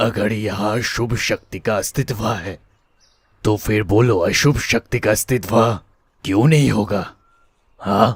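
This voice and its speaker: Putting on a raspy character voice, a man speaks at a fairly slow pace and fairly low pitch with ordinary pitch variation, in a dry, close sound with no echo. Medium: read story. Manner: hesitant, hushed.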